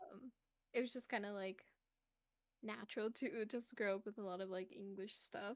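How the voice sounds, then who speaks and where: A woman's voice with a Spanish accent, fairly even intonation, a moderate pace and long, frequent pauses. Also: medium pitch for a woman. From Mexico. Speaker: VTuber streamer. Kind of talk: casual interview chat. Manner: hesitant, many fillers.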